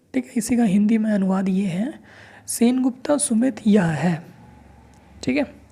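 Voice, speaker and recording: High-pitched male speech with ordinary pitch variation. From India, Chhattisgarh (Raigarh). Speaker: language teacher. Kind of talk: tutorial. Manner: slow, explanatory.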